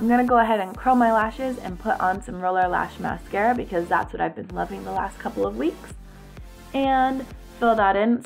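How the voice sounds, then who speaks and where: A woman talks fairly quickly while music plays behind her. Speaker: beauty vlogger. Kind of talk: makeup tutorial voice-over. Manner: casual, chatty.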